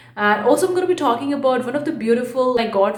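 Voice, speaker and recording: Someone talks at a very fast pace against noticeable background noise. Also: woman. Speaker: online art entrepreneur YouTuber. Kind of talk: casual vlog.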